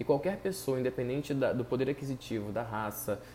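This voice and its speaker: Somewhat breathy and dark, mellow in tone, a man talks fairly quickly at a medium pitch. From Brazil. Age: 20s. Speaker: psychologist and podcaster. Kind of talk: solo commentary podcast.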